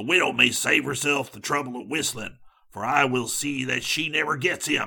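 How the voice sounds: In a put-on character voice, a man speaks at medium pitch with vocal fry. His tone is bright and sharp, with a slightly husky edge. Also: ordinary pitch variation, moderate pace.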